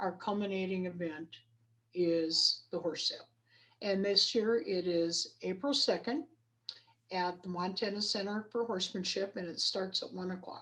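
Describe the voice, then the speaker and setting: This woman has a plain, everyday voice with an American accent, a medium pitch, ordinary pitch variation and a moderate pace. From Idaho. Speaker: rodeo coach and equine studies educator. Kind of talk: interview.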